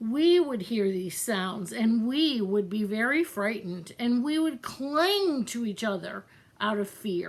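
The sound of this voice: An unforced reading voice delivers the words with lively intonation.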